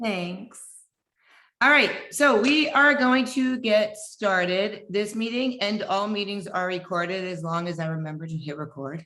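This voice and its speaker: A woman speaks loudly at a fairly slow pace, her bright, sharp tone carrying lively intonation at medium pitch, with audible room echo. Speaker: fitness coach. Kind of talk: group video meeting welcome talk. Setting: video call.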